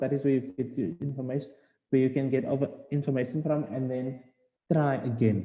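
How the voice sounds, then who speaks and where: A man with a fairly high pitch and a South African accent. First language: Afrikaans. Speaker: postgraduate student speaker. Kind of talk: webinar presentation. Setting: online webinar. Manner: hesitant, many fillers.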